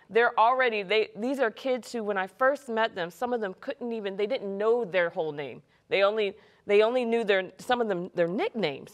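Speaking at a fairly quick pace with ordinary pitch variation, a woman with an American accent is heard against a quiet background. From US South. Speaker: school principal; guest. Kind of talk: casual chat. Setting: studio. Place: studio.

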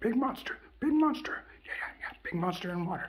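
A put-on character voice, high in pitch, with very wide pitch swings and a fairly quick pace. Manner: excited, repetitive.

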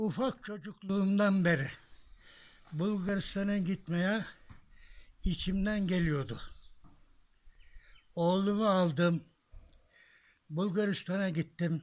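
A very slow delivery with long, frequent pauses, ordinary pitch variation and very even loudness. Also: man, high pitch for a man. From Bilecik, Turkey. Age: 80s+. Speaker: village elder. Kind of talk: interview answer. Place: garden.

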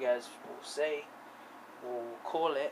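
Background noise is noticeable throughout. Through it, a man talks. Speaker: vlogger. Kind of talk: casual vlog chat. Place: home room. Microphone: phone near.

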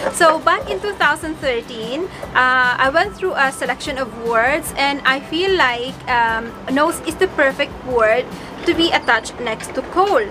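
A woman's raised, projected voice, high-pitched with lively intonation, over music in the background. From Bicol, Philippines. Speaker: vlogger, single parent. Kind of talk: casual talk to camera. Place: home room. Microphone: phone near.

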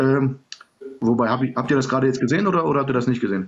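A man talks in a somewhat breathy voice. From Serbian background. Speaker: livestream guest; guest. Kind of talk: heated debate. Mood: argumentative, sometimes smiling. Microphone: phone near.

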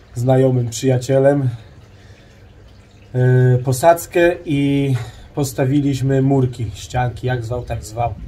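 A man speaks at a very slow pace, with long, frequent pauses. His voice is somewhat breathy, with fairly even intonation. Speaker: home DIY vlogger. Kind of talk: casual vlog chat. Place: garden. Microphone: phone near.

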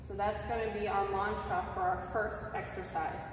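Fairly slow speech amid strong room echo and noticeable background noise. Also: woman. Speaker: yoga instructor. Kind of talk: class instruction. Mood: calm, gentle. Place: empty room. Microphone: camera far.

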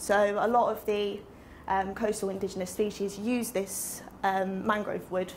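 Light background noise sits under this recording. A woman speaks at a moderate pace. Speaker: presenter. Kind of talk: lecture. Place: classroom. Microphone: camera far.

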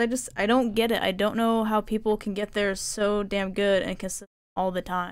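A woman speaks at a medium pitch and a moderate pace. Her intonation is monotone and flat, with a quiet background. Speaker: video game streamer. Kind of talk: casual live-stream chat while crafting. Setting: home streaming setup with a finicky mic. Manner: often speaks quietly; frustrated, swears a lot. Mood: frustrated, swearing at times. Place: home room. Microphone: headset.

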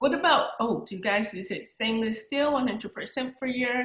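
Over a quiet background with audible room echo, a woman talks at a fairly quick pace in a fairly high pitch with ordinary pitch variation. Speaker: podcast host. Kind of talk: podcast interview questions. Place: home room.

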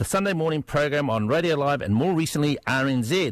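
A man with a New Zealand accent talks in a fairly high-pitched voice. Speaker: political commentator. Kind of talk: radio panel discussion.

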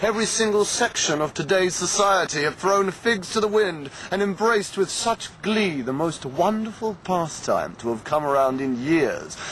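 A man speaks at a high pitch with lively intonation and a moderate pace. He hardly pauses, and there is noticeable background noise. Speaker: performance poet. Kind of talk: comic poetry performance. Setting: outdoors.

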